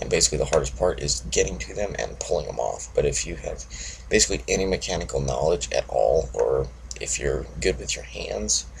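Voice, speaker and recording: At a fairly quick pace, a man talks while noticeable background noise carries on. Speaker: motorcycle vlogger. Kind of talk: casual monologue vlog. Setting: at home early morning. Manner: monotone; quiet.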